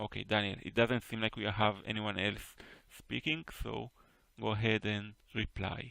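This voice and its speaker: A man's fairly low voice with vocal fry and an Israeli accent. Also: fairly even intonation, moderate pace. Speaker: poetry teacher. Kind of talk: online class critique discussion. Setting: voice chat on Discord.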